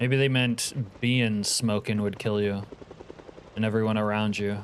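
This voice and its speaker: A man's fairly low pitch at a moderate pace with very even loudness, against noticeable background noise. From Alaska. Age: 50s. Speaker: video game streamer. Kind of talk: casual live gaming commentary. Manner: animated.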